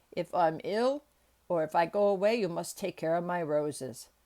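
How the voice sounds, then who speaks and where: This gruff, put-on character voice sits at a middle pitch and moves at a moderate pace. The recording is very clean, with a silent background. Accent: Yorkshire. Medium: read story. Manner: dry, gruff.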